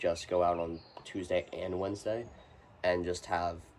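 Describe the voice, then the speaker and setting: A man speaks over noticeable background noise. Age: 20s. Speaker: young business owner and student vlogger. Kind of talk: casual vlog monologue. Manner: casual, filler-heavy.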